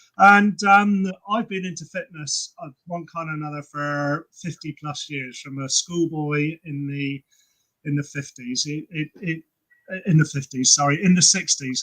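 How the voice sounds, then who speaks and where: Delivered at a fairly slow pace with a southern English accent, this bright, sharp-toned voice swings widely in loudness, recorded dry and close with no echo. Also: man, fairly high pitch for a man, ordinary pitch variation. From England, Cheltenham. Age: 60s. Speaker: personal trainer and fitness creator. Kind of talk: casual chat.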